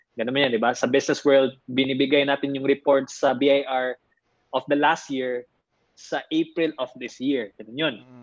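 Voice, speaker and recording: With big swings in loudness, a man speaks at a moderate pace in a monotone, flat intonation. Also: medium pitch for a man. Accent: Filipino. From Philippines, Davao (Mindanao). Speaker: entrepreneur and motivational speaker. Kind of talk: interview. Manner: measured pace.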